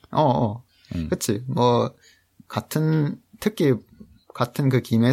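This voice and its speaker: A man at medium pitch, very slow in pace, with lively intonation. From Canada. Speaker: translator. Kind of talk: interview.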